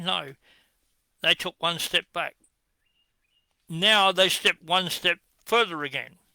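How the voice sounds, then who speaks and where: A man projects a bright, sharp, raised voice in a strong Australian accent. The recording is very clean and dry, close, with a silent background and no echo. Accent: broad Australian. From Western Australia, Perth. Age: 70s. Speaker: political commentator. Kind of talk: monologue rant. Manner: animated.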